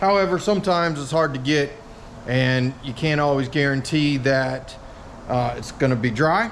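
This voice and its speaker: A man with a fairly high pitch and ordinary pitch variation, at a moderate pace, amid noticeable background noise and audible room echo. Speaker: fabrication YouTuber. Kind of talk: tutorial. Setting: workshop. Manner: hesitant with frequent fillers.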